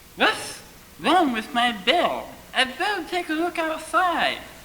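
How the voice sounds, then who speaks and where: The pace of this put-on character voice is fairly slow. Its pitch is extremely high. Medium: read story.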